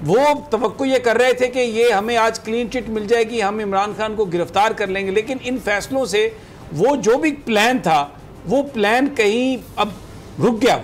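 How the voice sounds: At a moderate pace and with few pauses, a man speaks in a high pitch with ordinary pitch variation.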